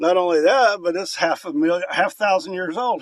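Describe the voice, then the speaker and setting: At a moderate pace, a man talks in a relaxed tone with a high pitch. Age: 60s. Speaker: vlogger. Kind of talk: casual vlog talk to camera. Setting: outdoors, inside a hollow tree.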